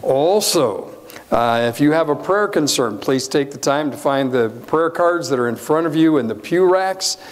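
Moderately paced male speech with ordinary pitch variation. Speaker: pastor. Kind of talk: church announcements. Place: church. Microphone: lapel.

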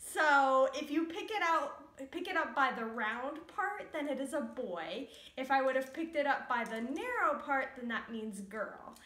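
A raised, projected voice with a bright, sharp tone and lively intonation moves at a fairly slow pace. Audible room echo surrounds it. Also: woman, high pitch for a woman. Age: 20s. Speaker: vlogger. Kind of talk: casual vlog to camera. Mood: cheerful, playful. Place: home room. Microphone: camera far.

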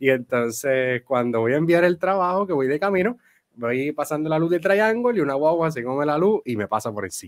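The man's speech has lively intonation and a fairly quick pace. Behind him, the background stays quiet. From Puerto Rico, San Germán; Puerto Rico. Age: 20s. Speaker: theology student and church worker; podcast guest. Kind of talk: interview answers. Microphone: studio mic.

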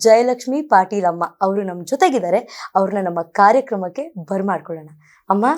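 A woman's dark, mellow tone carries lively intonation on a very clean recording with a silent background. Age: 20s. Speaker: interviewer. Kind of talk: interview.

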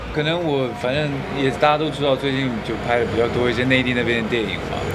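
Very fast male speech against loud background noise. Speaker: actor. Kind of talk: interview answer. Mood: relaxed, slightly joking. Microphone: handheld.

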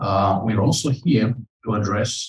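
A man speaks in a somewhat breathy voice. There is audible room echo over a quiet background. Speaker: conference MC. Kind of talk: welcoming remarks speech. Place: hall.

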